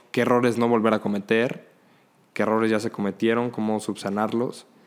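This is a man with an unremarkable speaking voice at medium pitch. He talks at a moderate pace with fairly even intonation on a very clean recording with a silent background. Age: 20s. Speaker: law student and emergency medical technician. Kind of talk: casual chat.

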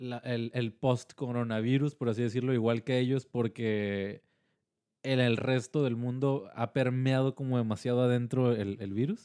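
Dry and close with no echo, a man's dark, mellow voice comes at a fairly slow pace and medium pitch, with fairly even intonation and a Mexican accent. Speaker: podcast host. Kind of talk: casual chat.

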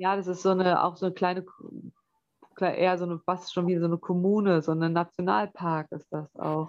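Her pitch sits fairly low for a woman. She talks at a fairly quick clip. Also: fairly even intonation. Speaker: capoeira trainer. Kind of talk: interview.

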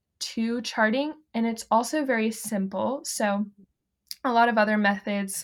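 A woman with a normal speaking voice and an American accent speaks at a fairly slow pace and fairly high pitch. Her intonation is fairly even, on a very clean recording with a silent background. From US South, the Carolinas. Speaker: fertility awareness educator. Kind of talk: casual interview chat.

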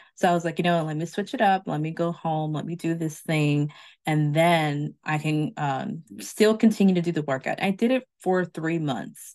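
A woman has an ordinary speaking voice, fairly low in pitch with ordinary pitch variation. She talks at a moderate pace with hardly any pauses. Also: quiet background. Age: middle-aged. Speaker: podcast host. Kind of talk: casual chat.

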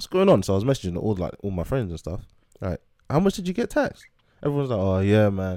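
Speaking at a very fast pace, this voice has a dark, mellow tone and lively intonation, on a very clean recording with a silent background. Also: man, fairly low pitch for a man. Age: 20s. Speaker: podcast co-host. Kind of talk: casual chat.

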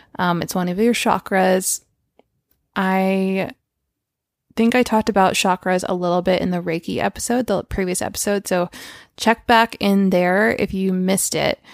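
Dry and close with no echo, on a very clean recording with a silent background, a woman with an unremarkable speaking voice talks at a moderate pace and medium pitch with fairly even intonation. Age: 30s. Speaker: grief coach and podcast host. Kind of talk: solo Q&A podcast monologue. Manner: casual, filler-heavy.

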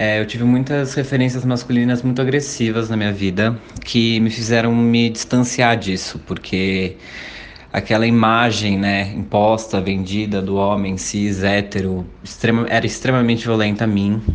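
A man speaks at medium pitch and a moderate pace, his intonation fairly even. Noticeable background noise and audible room echo fill the recording. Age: 20s. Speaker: civil servant. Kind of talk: interview.

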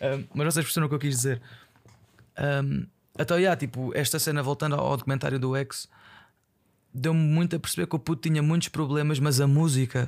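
Long, frequent pauses break up fairly quick speech with fairly even intonation and very even loudness, in a very clean recording with a silent background. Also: man, fairly high pitch for a man. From Portugal, Aveiro. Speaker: podcaster. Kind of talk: casual monologue. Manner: halting.

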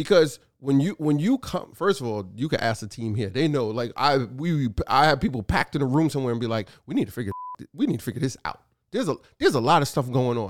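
Animated and at a very fast pace, a man with a New York accent speaks at a fairly high pitch with lively intonation. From New York City, Brooklyn. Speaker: podcast co-host, business owner. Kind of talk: casual chat.

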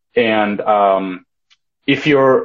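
This voice comes with a Russian accent. Its pitch moves in an ordinary way. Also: man. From Ukraine. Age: 20s. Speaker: polyglot language learner. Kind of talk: casual interview. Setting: Instagram live stream.

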